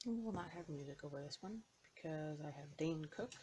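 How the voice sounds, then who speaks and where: Quiet and somewhat breathy, a woman's very deep, low voice has a dark, mellow tone. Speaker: cross-stitch video creator. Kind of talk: casual chat while stitching. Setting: at home. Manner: semi-hushed.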